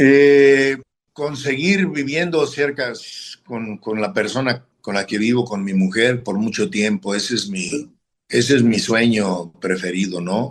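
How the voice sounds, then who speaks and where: A man speaks very slowly in a medium pitch, his intonation lively. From northern Mexico, Matamoros. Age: 60s. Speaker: football coach and former player. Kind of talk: interview. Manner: halting.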